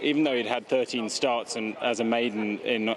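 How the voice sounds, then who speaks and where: Fairly even intonation from a male speaker, with noticeable background noise. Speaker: racehorse trainer. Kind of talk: interview.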